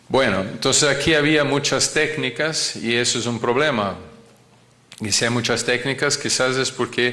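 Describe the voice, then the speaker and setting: With a non-native accent, a man talks at a fairly slow pace, and audible room echo surrounds his voice. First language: not Spanish (speaking Spanish). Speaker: cardiac surgeon lecturer. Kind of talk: lecture. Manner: halting, many fillers and repetitions.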